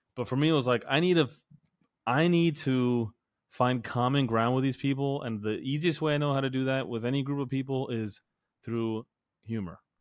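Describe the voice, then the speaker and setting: The pace here is moderate. It's an unremarkable speaking voice, with ordinary pitch variation. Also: man, medium pitch for a man. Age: 30s. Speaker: fitness coach and podcast host. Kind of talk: casual chat.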